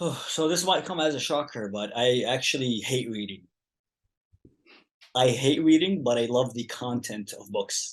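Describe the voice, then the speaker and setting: Moderate pace and ordinary pitch variation from a man, over a quiet background. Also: medium pitch for a man. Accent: Arabic. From Yemen. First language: Arabic. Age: 20s. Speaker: activist. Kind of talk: casual chat.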